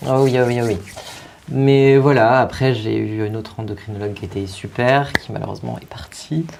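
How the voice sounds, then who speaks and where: Noticeable background noise sits behind a man talking at a moderate pace. His pitch is medium and varies in an ordinary way. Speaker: drag performer. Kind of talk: talk show interview. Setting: studio. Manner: hesitant.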